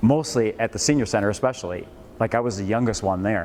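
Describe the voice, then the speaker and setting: Over noticeable background noise, a man speaks with an American accent at a medium pitch and moderate pace, with ordinary pitch variation. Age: 70s. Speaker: financial educator. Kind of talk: lecture. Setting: classroom with live audience. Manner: loud; halting.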